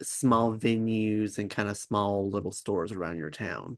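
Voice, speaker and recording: Against a quiet background, a man talks at a moderate pace. He has an unremarkable speaking voice with a medium pitch. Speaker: podcast host. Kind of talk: podcast interview questions.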